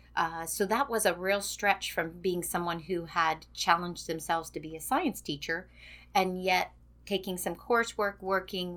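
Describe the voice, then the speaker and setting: A woman speaks at a moderate pace with vocal fry and fairly even intonation. The recording is very clean, with a silent background. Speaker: retiring educator. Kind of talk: interview.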